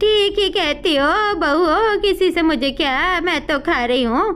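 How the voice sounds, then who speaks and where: A cartoonish character voice at a moderate pace, with lively intonation, very even loudness, and clear background noise. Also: woman, extremely high pitch for a woman. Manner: grumbling, blunt.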